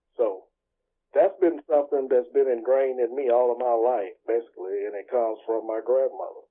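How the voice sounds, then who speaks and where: This man talks at a fairly quick pace. He has a Southern US accent. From US South, Mississippi Delta. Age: 60s. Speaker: pastor and entrepreneur. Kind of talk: interview. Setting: video call.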